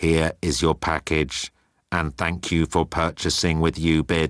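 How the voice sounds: In a put-on, robotic character voice, a man talks at a fairly slow pace with a very deep, low pitch and monotone, flat intonation, on a very clean recording with a silent background.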